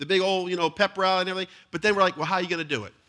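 Vocal fry runs through a man's fairly high-pitched voice, bright and sharp in tone. The recording is very clean, with a silent background. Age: 40s. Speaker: pastor. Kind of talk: sermon. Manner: repetitive, stammering restarts.

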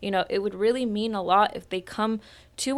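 A woman's medium-pitched voice with an American accent and fairly even intonation, on a very clean recording with a silent background. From Roseland, Santa Rosa, California. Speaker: school board trustee. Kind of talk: interview. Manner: hesitant, many fillers.

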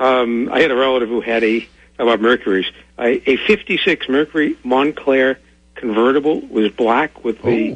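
A man with a normal speaking voice talks at a medium pitch and a moderate pace, with ordinary pitch variation. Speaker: caller. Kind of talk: radio call-in question. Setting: phone call.

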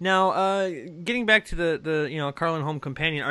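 A man speaks at a very fast pace in an animated tone. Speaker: podcast host. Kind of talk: casual interview chat. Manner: animated, joking.

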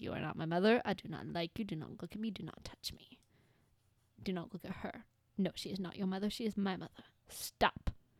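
Using a put-on character voice, a woman talks at a fairly quick pace with a medium pitch and a raspy sound, broken by long, frequent pauses. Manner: grumpy, irritable.

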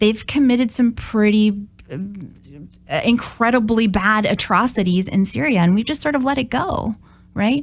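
A woman speaks in a normal speaking voice at a moderate pace. Her pitch varies ordinarily, on a very clean recording with a silent background. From Minnesota, US Midwest. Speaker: political science professor. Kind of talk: interview.

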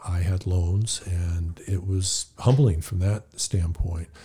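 A man with an American accent and a very deep, low pitch, somewhat breathy, at a fairly slow pace. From California. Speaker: podcast guest, healthcare professional. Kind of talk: interview, personal faith story. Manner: hesitant, many fillers.

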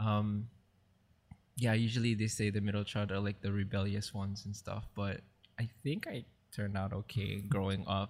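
Very clean recording with a silent background, a man at fairly low pitch, fairly quick pace and fairly even intonation. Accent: Hawaiian. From Hawaii, Maui. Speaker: church youth treasurer. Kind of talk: casual chat.

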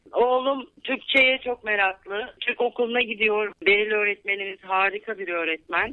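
A woman speaks at a fairly slow pace with hardly any pauses. Her pitch is fairly high, with ordinary variation. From Turkey, Izmir. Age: 40s. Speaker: English teacher and activist. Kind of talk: radio interview. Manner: hesitant with many fillers.

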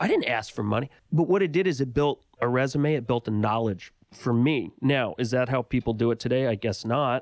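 Recorded very cleanly against a silent background, the sound dry and close with no echo, a man with an American accent talks at a fairly quick pace. He has a normal speaking voice, medium in pitch with ordinary pitch variation. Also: hardly any pauses. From US, Los Angeles. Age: 40s. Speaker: filmmaker and author. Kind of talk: interview.

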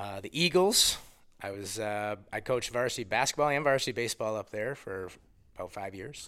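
Recorded very cleanly against a silent background, a man with an American accent and a normal speaking voice talks fairly quickly at a fairly low pitch, with lively intonation and big swings in loudness. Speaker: high school basketball coach. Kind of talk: casual interview.

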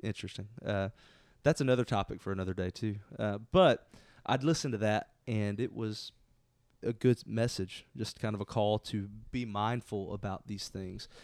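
In an American accent, this unremarkable speaking voice moves at a moderate pace with ordinary pitch variation, recorded dry and close with no echo against a very clean, silent background. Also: man, fairly low pitch for a man. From Southeast Texas. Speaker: pastor. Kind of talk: casual chat. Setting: office couch.

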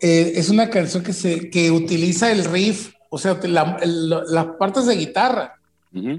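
A man talks at a fairly slow pace in a high pitch. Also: ordinary pitch variation. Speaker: rock musician. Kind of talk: casual chat.

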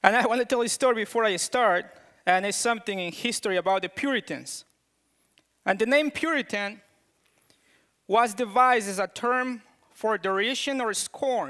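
A raised, projected voice with a strong non-native accent and a bright, sharp tone, at a moderate pace with ordinary pitch variation and long, frequent pauses, sounding dry and close with no echo. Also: man, high pitch for a man. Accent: thick foreign. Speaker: preacher. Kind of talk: sermon. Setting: church.

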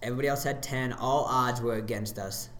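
A man's fairly even intonation carries through audible room echo and noticeable background noise. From South Dakota, Sioux Falls area. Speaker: ninja gym owner and athlete. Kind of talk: casual chat.

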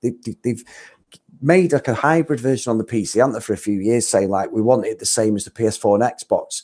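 A man with a British accent talks at a fairly quick pace in a dark, mellow tone with lively intonation, on a very clean recording with a silent background. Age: 40s. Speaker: podcast host. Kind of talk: casual chat.

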